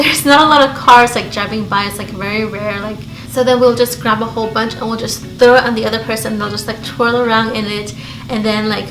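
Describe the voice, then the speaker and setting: A woman speaks very fast at a fairly high pitch. Noticeable background noise and audible room echo fill the recording. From Belize. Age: 30s. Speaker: beauty YouTuber. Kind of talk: casual chat. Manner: animated.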